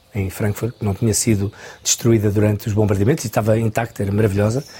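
A man talks in a dark, mellow tone that is somewhat breathy. His intonation stays monotone and flat. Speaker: choreographer. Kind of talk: interview.

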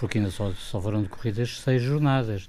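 Using lively intonation, a man at medium pitch has an unremarkable speaking voice. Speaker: football pundit, club fan. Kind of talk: radio debate.

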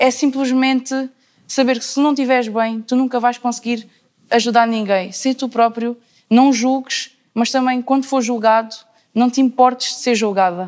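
A woman with a high pitch keeps her intonation fairly level and talks at a moderate tempo. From Alentejo, Portugal (Cuba, near Beja). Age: young (19). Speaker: university student. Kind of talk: casual panel discussion.

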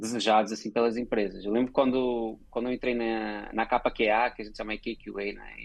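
The speaker uses a plain, everyday voice with fairly even intonation. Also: man. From Portugal. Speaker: advertising creative director. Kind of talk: interview.

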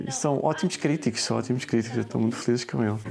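A man talks with fairly even intonation as noticeable background noise carries on behind him. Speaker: online children's bookseller. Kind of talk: interview. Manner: hesitant, many fillers.

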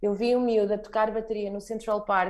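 Dark and mellow in tone, a woman speaks at a moderate pace. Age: 30s. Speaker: marketing professional sharing travel experience. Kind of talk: casual travel testimony.

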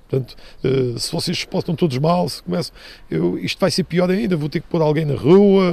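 The voice has a dark, mellow tone. It moves at a moderate pace, with pitch varying in an ordinary way. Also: man, fairly high pitch for a man. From Madeira, Portugal. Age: 50s. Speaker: retired football referee. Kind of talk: interview testimony. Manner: halting with fillers.

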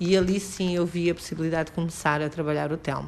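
At a moderate pace, a woman with a very deep, low voice speaks with ordinary pitch variation. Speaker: mobility trainer for the blind. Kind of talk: guided training, casual conversation. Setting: outdoors in the street.

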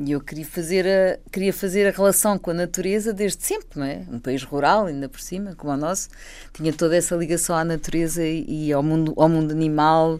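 Over a very clean recording with a silent background, a woman with an unremarkable speaking voice talks at a fairly quick pace, her fairly low pitch showing ordinary variation and her loudness swinging widely. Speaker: environmental sociologist. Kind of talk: radio panel discussion.

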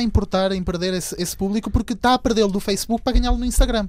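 A man talks at a very fast pace and an extremely high pitch, with ordinary pitch variation. Noticeable background noise is present. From Venezuela. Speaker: YouTuber. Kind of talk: casual chat.

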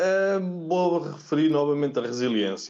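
A man with ordinary pitch variation. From Portugal, Oliveira do Bairro near Aveiro. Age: 30s. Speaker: tennis physiotherapist. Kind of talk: interview. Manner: halting, many repeated words.

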